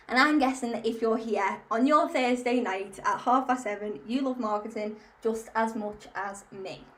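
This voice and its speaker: Audible room echo surrounds a woman with a Liverpool accent whose high voice shows ordinary pitch variation. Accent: Liverpool (Scouse) English. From Liverpool, England. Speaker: marketing community founder. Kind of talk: webinar presentation. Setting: online webinar.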